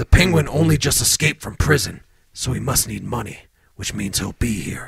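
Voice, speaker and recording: A man puts on a raspy character voice at a medium pitch and a moderate pace. His intonation is lively, with big swings in loudness. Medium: audio drama. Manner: terse, serious.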